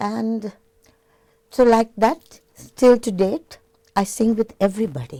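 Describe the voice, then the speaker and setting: A woman speaks at a fairly slow pace. Her medium-pitched voice has a dark, mellow tone. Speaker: singer. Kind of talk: interview. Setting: TV studio.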